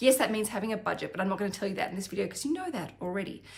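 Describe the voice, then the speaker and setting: A woman speaks with an Australian accent and lively intonation. There is noticeable background noise. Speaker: financial planner and finance vlogger. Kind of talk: educational vlog.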